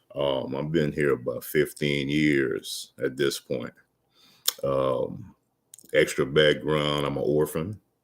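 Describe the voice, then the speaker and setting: The speaker has a Louisiana accent. The delivery comes at a very slow pace. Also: man. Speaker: motivational vlogger. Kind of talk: casual livestream monologue. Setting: livestream. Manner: halting, many fillers.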